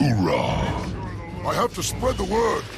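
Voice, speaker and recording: Using a put-on character voice, a man speaks at a fairly slow pace against loud background noise. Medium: machinima.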